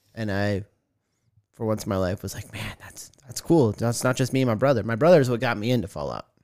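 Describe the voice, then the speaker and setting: Very fast speech in an American accent, with ordinary pitch variation and big swings in loudness. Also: man, medium pitch for a man. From Arizona, Tucson. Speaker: podcast co-host. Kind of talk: casual chat. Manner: animated.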